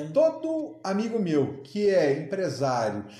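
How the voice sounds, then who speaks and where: An animated man at a high pitch, against noticeable background noise. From Minas Gerais, Brazil (Uberaba, Triângulo Mineiro). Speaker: aquarium shop owner and entrepreneur. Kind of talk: casual interview chat. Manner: animated, with frequent repetitions and fillers.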